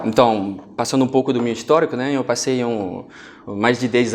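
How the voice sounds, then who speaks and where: Keeping a middle pitch, a man speaks at a moderate speed. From France. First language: French (speaking Portuguese). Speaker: finance executive. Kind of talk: TV interview. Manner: halting, with fillers.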